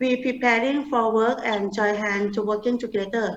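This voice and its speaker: A woman speaks with a Thai accent. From Thailand. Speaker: humanitarian organization leader. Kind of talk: interview. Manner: halting.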